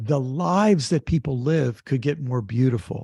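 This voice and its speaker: Against a quiet background, a man speaks in a dark, mellow tone that is somewhat breathy, with lively intonation and a dry, close sound with no echo. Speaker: author, activist and theologian. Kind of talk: interview answer.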